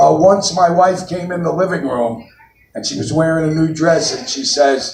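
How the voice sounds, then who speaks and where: Audible room echo surrounds a man with a New York accent. He speaks at a moderate pace. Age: 60s. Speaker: comedian. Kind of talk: stand-up. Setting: stage with audience.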